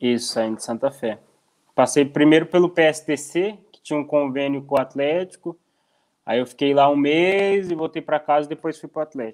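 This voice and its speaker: At a moderate pace, a man speaks with ordinary pitch variation. The background is quiet. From Brazil, interior of Paraná. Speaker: professional footballer. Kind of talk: interview. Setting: video call. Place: home room. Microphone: earbuds.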